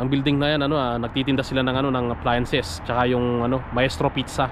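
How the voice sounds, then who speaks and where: Monotone, flat delivery from a man at medium pitch and a fairly quick pace. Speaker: vlogger, overseas worker. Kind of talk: casual vlog. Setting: outdoors at workplace during break.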